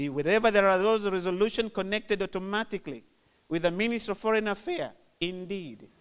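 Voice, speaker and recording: In a Zanzibar accent, a man talks very fast in a high voice with ordinary pitch variation, on a very clean recording with a silent background. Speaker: government official. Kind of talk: formal speech.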